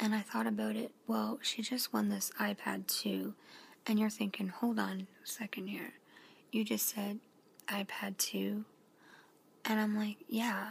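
The speech moves at a fairly slow pace. Long pauses come often. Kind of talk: casual vlog chat. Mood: relaxed late-night chat. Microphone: phone near.

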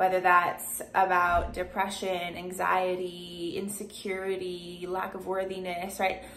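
Monotone, flat intonation at a fairly slow pace, with light background noise. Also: woman. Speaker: vlogger. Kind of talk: casual vlog chat. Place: home room. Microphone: phone near.

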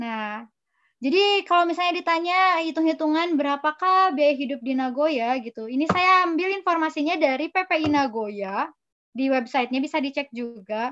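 A woman with a West Javanese accent speaks at a high pitch and a moderate pace, her intonation lively against a quiet background. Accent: Sundanese. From West Java, Indonesia (Sundanese). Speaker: graduate student; webinar speaker. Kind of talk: interview with slide presentation. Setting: video call from her apartment. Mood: friendly, smiling. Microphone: video call.

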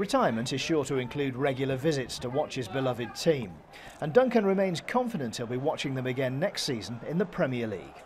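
Over noticeable background noise, a man at medium pitch talks very fast with lively intonation. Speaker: sports reporter. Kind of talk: TV news feature narration.

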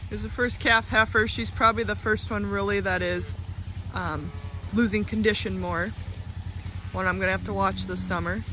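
At a moderate pace broken by long, frequent pauses, the voice sounds dry with no echo, over noticeable background noise. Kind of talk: casual vlog commentary. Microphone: phone near.

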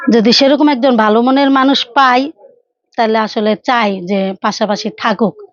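This woman has a plain, everyday voice, fairly high in pitch with ordinary variation. Her loudness stays very even throughout. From Bangladesh, Faridpur. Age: 30s. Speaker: abandoned wife telling her life story. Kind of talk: interview testimony. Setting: on camera.

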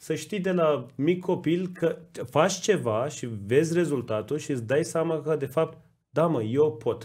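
A man's fairly high voice with ordinary pitch variation at a fairly slow pace, against a quiet background. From Iran (Tabriz); Iran. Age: 30s. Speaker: podcast co-host, design school co-founder; podcast host. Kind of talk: casual chat. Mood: warm, appreciative. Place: studio. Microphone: studio mic.

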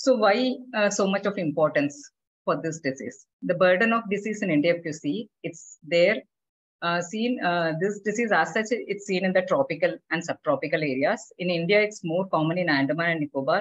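With an unremarkable speaking voice, a woman uses lively intonation and keeps a moderate speed. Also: fairly low pitch for a woman. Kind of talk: lecture. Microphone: video call.

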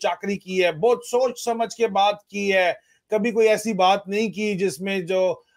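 Against a quiet background, a man talks in a flat monotone at a high pitch for a man. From Pakistan. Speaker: retired army officer and political commentator; political commentator. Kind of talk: political discussion. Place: home room.

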